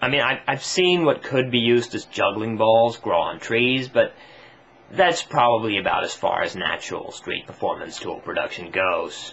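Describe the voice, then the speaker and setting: Over noticeable background noise, a man talks at a moderate pace with very wide swings in pitch. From Sweden. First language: Swedish. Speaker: comedy vlogger. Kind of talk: comedic rant to camera. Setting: home video on camera tripod.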